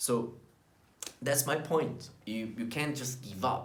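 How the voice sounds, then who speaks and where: A man with a Portuguese accent speaks at a fairly high pitch, with audible room echo around his voice. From Brazil. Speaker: vlogger. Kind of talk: motivational talk to camera.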